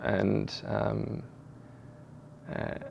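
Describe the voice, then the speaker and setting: A man with a strong Australian accent. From Australia, Sydney area. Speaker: football coach. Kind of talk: interview. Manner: halting, many fillers and repeats.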